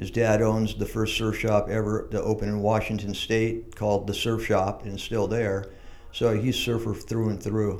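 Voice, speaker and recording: Monotone, flat intonation in an American accent, with audible room echo. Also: man. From San Diego, California. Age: 60s. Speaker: surf shop owner. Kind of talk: casual interview. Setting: shaping room with echo.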